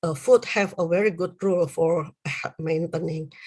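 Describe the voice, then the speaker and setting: Someone speaks at a fairly slow pace with an Indonesian accent. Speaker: university lecturer. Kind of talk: lecture. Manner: halting, many fillers.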